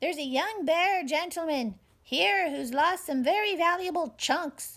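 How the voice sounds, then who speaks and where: A squeaky, put-on character voice carries lively intonation. The pace is moderate. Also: woman, extremely high pitch for a woman. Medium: read story.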